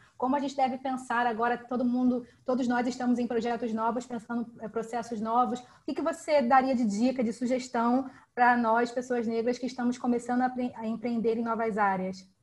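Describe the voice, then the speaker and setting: A woman speaks in a high, flat monotone at a fairly quick pace, with hardly any pauses. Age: 30s. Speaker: participant asking a question. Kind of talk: live online Q&A.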